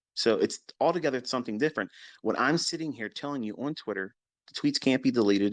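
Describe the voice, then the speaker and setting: Speech from a man comes very rapidly, his intonation lively. Nothing stirs in the quiet background. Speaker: trading mentor. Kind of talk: live audio chat lecture. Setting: live social media audio room.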